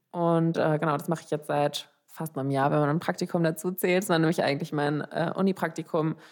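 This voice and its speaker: Her pitch is very deep and low, with monotone, flat intonation. The woman moves at a fairly quick pace with hardly any pauses. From Germany, Frankfurt. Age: 20s. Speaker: podcast host, psychology student. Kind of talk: casual chat.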